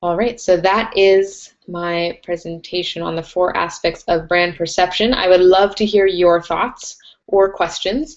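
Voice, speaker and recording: Woman with an ordinary speaking voice, medium pitch, fairly slow pace and fairly even intonation. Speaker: webinar host, brand strategist. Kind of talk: webinar presentation. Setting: live online webinar.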